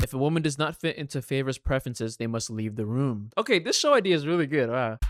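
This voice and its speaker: Music plays in the background while a man speaks very fast at a medium pitch with ordinary pitch variation. The sound is dry and close, with no echo. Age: 20s. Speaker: reaction video creator. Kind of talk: casual reaction commentary.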